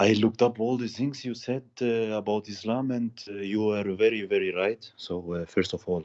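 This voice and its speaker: A man with a non-native accent and fairly even intonation, dry and close with no echo, against a quiet background. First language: not English. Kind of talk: call-in conversation. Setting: Skype call. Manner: halting, many fillers.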